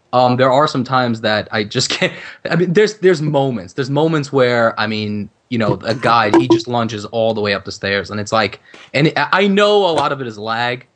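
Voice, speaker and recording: A man's normal speaking voice, medium in pitch, at a fairly quick pace with lively intonation. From Ukraine, raised in New York since age nine. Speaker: gaming YouTuber guest. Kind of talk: casual podcast chat.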